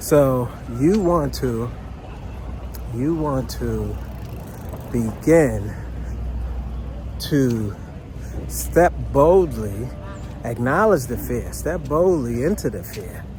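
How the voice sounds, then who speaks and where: Speaking at a very slow pace with long, frequent pauses, a man is heard over noticeable background noise and audible room echo. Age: 50s. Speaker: financial educator, formerly incarcerated. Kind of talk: motivational talk. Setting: outdoors, walking in a park. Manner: conversational, repetitive.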